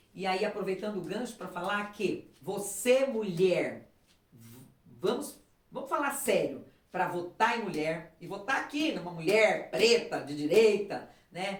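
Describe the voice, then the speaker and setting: With audible room echo, a woman speaks at a fairly slow pace, her intonation lively and her loudness swinging widely. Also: medium pitch for a woman. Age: 60s. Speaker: political candidate and teacher. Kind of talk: casual interview. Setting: at home. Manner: halting, frequent fillers and repetitions.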